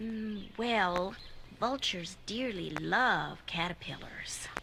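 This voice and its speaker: A put-on character voice, female-sounding and at medium pitch, at a very slow pace over clear background noise. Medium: audio drama.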